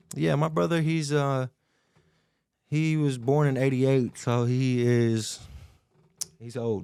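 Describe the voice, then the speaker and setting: In a Tennessee accent, a man speaks at a very slow pace with long, frequent pauses, a dark, mellow tone and ordinary pitch variation. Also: medium pitch for a man. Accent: Southern US (Tennessee). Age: 20s. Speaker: podcast guest. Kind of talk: casual interview chat.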